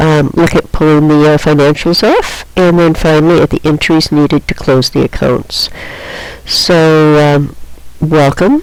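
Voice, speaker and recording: A woman speaks with a very deep, low pitch. Her intonation is fairly even and her pace fairly slow. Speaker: accounting teacher. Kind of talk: lecture. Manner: hesitant with fillers.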